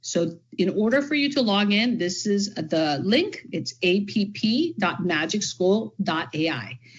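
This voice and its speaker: Fairly slow and somewhat breathy, a woman with an American accent speaks at medium pitch with very wide pitch swings. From California. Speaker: education trainer, former teacher and principal. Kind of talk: workshop presentation. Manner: enthusiastic.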